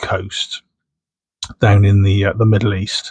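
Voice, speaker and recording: A man talks at a fairly slow pace. He has a Bristol accent. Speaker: coin collector. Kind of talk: casual unboxing commentary. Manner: casual, chatty.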